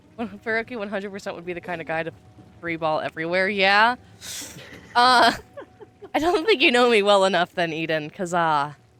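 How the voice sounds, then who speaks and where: Speaking at a fairly quick pace with long, frequent pauses, a woman uses a medium pitch and lively intonation. Her tone is animated, with big swings in loudness. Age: 20s. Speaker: vtuber streamer. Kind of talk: casual chat.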